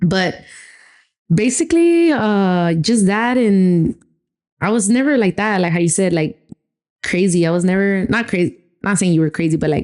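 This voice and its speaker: A woman with a Spanish accent speaks at a moderate pace, her loudness very even, with long, frequent pauses. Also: medium pitch for a woman, ordinary pitch variation. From Texas (Rio Grande Valley, Austin, San Antonio). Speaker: podcast co-host, gym owner. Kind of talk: casual chat.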